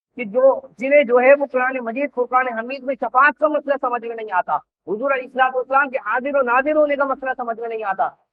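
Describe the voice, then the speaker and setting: A man speaks at an extremely high pitch. His intonation stays fairly even. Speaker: Islamic scholar. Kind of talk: religious sermon.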